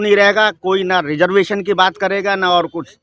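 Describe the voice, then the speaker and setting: This man's voice is high-pitched. His tone is bright and sharp. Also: dry, close sound with no echo. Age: 60s. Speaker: member of the public interviewed. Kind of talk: street interview opinion. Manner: animated.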